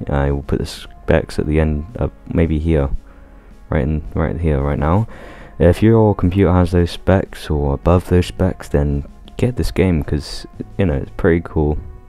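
Ordinary pitch variation at a moderate pace, with music in the background. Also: man. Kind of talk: casual gameplay commentary.

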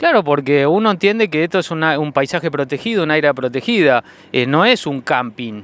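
At a fairly quick pace, a man with a fairly high pitch speaks with lively intonation. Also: dry sound with no echo. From Argentina. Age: 50s. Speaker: photographer; witness. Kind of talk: interview. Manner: hesitant, many filler sounds. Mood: concerned, indignant. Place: waterside. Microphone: handheld.

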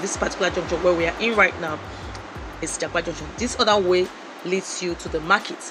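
Music plays in the background while the speaker goes at a fairly quick pace. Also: woman. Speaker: vlogger passenger. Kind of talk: casual vlog commentary. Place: car. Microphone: phone near.

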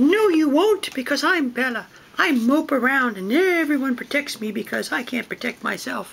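At a moderate pace, a high-pitched, put-on character voice carries on. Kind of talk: comic overacting. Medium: comedy sketch. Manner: mopey, deadpan.

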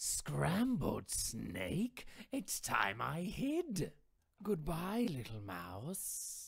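A man's put-on character voice, high in pitch and very slow in pace. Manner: alarmed at the end.

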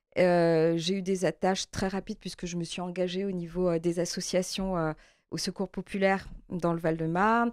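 Against a quiet background, a woman talks at a moderate pace. Her intonation is fairly even, and the sound is dry with no echo. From Martinique. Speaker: member of parliament, election candidate. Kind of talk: interview. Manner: halting, frequent hesitations. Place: studio.

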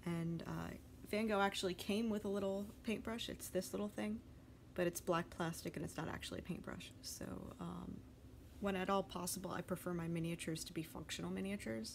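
A woman with a fairly low voice and lively intonation talks at a fairly quick pace over light background noise. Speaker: hobby vlogger. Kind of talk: casual vlog chat. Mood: enthusiastic, light laughter. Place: home room. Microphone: phone near.

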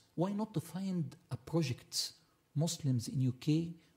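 Somewhat breathy, a man speaks with lively intonation against a quiet background. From Egypt. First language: Arabic. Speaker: panelist. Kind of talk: panel discussion. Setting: stage with audience. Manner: halting. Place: hall. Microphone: podium.

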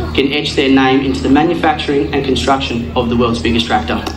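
A man's voice with clear music in the background. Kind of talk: prepared ceremony speech. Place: open country. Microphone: pa.

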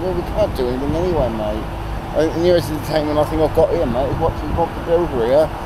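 Talking at a very fast pace, a man is heard against noticeable background noise. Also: dry sound with no echo. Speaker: vlogger. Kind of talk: casual vlog chat. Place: street. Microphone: phone near.

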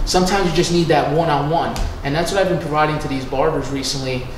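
A man talks with fairly even intonation. Audible room echo and noticeable background noise accompany him. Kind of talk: interview answer. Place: home room.

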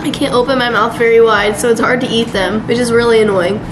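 Noticeable background noise runs beneath the woman's speech. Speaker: vlogger. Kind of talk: casual vlog chat. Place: kitchen. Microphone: phone near.

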